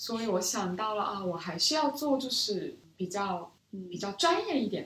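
Her medium-pitched voice rises and falls in very wide pitch swings as the woman speaks. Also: moderate pace. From South Korea, Seoul; childhood years in Beijing. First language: Korean (speaking Chinese). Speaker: business school student, former strategy analyst. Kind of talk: interview conversation. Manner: soft-spoken.

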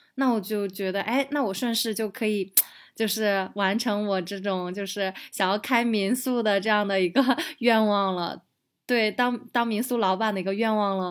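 Speaking in a plain, everyday voice, a woman keeps a medium pitch, fairly even intonation and moderate pace on a very clean recording with a silent background. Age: 30s. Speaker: digital nomad entrepreneur and guesthouse owner. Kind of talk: casual interview chat.

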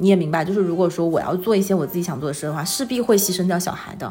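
A medium-pitched woman with ordinary pitch variation, music playing in the background. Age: 30s. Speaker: full-time mother and illustrator. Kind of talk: casual interview.

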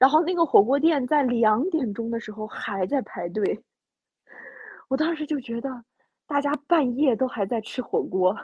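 This woman's voice is high, with lively intonation. She moves at a moderate pace with long, frequent pauses. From Inner Mongolia. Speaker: podcast host. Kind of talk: casual chat. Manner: animated.

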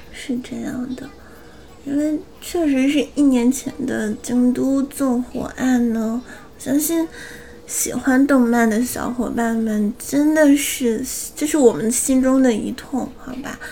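Noticeable background noise surrounds a woman with a high pitch. She talks at a very slow pace with fairly even intonation and big swings in loudness. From Northeast China. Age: 20s. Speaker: anime news podcast co-host. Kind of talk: news reading; casual chat.

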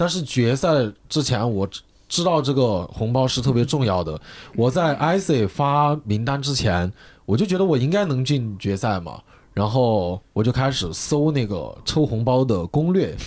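In a very clean recording with a silent background, a man at medium pitch speaks fairly slowly with very wide pitch swings. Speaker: stand-up comedian. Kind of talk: casual chat. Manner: excitable.

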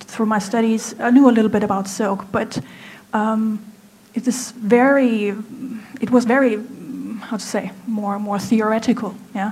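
A woman with a German accent and a fairly high voice speaks with fairly even intonation, amid audible room echo and noticeable background noise. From Germany. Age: 30s. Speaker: apparel designer. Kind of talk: stage talk. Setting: stage with audience. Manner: halting.

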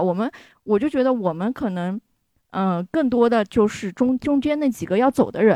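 A woman's fairly high-pitched voice with a dark, mellow tone, over a quiet background. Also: dry, close sound with no echo. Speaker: audience member. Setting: speaking via microphone at live event.

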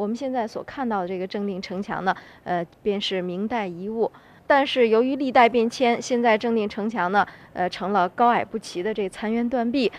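A woman with a fairly high pitch keeps a moderate pace, her pitch varying in an ordinary way. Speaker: local tour guide. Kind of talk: guided tour explanation.

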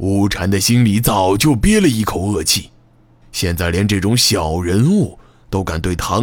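Lively intonation lifts an unforced reading voice.

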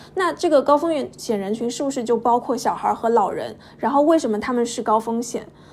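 Against noticeable background noise, a woman speaks in a high pitch. She moves at a fairly quick pace with hardly any pauses and ordinary pitch variation. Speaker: podcast co-host. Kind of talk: podcast interview.

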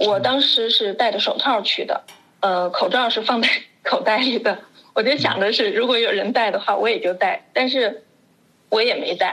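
A woman speaks at a moderate pace with very even loudness. There is noticeable background noise. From China, Wuhan. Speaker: education expert. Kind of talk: casual chat.

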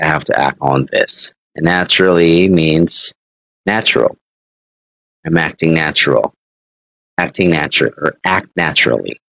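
A man with a very deep, low voice and vocal fry speaks at a moderate pace with long, frequent pauses. His loudness stays very even and his intonation fairly even. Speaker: English teacher. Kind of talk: online English lesson.

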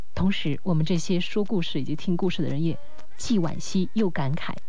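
A woman's normal speaking voice, fairly low in pitch, with lively intonation at a moderate pace. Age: 20s. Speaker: late-night radio host. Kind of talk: radio call-in chat.

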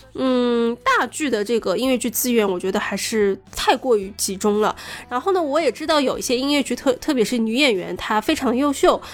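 A woman with a high voice and lively intonation, talking at a moderate pace with hardly any pauses over noticeable background noise. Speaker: podcast co-host. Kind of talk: casual chat.

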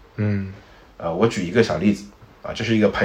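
Very fast speech from a man, fairly low in pitch, with ordinary pitch variation over noticeable background noise. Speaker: internet industry commentator. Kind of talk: casual chat.

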